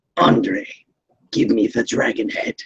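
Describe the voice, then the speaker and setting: A man puts on a raspy character voice at an extremely high pitch. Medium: actual play.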